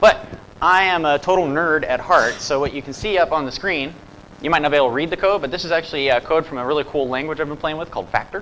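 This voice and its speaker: A fairly high-pitched man in a slight Southern US accent, very fast and animated, with lively intonation. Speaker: software developer and conference speaker. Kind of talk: conference talk. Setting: stage with audience. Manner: casual, animated.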